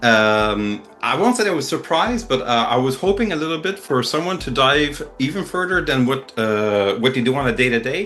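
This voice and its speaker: A man's bright, sharp voice with very wide pitch swings and hardly any pauses. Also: medium pitch for a man, moderate pace. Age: 50s. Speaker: magician and podcast interviewer. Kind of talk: casual interview. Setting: video call. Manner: hesitant, many fillers.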